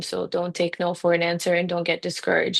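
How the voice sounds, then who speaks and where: Here a woman speaks with a Ukrainian accent. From Ukraine. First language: Ukrainian or Russian. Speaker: physician. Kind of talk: interview conversation. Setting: podcast interview.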